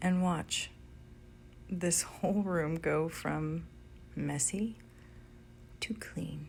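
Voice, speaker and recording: A woman's very slow, calm-toned speech. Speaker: professional house cleaner. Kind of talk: casual talk to camera, ASMR cleaning video. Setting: recorded in a home while cleaning. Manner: soft-spoken, calm, slow.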